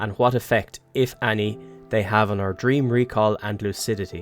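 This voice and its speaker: Over music in the background, a man with an Irish accent speaks at a fairly low pitch with ordinary pitch variation. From Ireland. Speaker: cinematographer and video editor. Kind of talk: casual talk to camera, channel trailer. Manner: informal, humorous.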